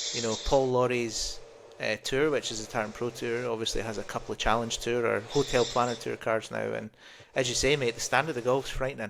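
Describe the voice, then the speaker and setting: A man with a Scottish accent at medium pitch, fairly quick and monotone, flat in intonation, with vocal fry, on a very clean recording with a silent background. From Scotland. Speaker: golf podcast co-host, former golf professional. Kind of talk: casual chat.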